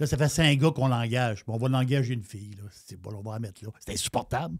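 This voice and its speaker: A man's very fast, somewhat breathy voice at a medium pitch, with lively intonation, on a very clean recording against a silent background. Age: 60s. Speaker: radio talk show host. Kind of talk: political talk show discussion. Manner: animated.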